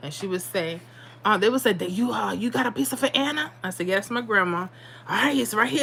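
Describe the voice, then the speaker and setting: A woman with a medium-pitched voice speaks at a fairly quick pace in an animated tone, her pitch swinging very widely. Noticeable background noise is present. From New York City, South Bronx; moved to Florida at eight. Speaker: lottery picks live streamer. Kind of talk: casual livestream chat.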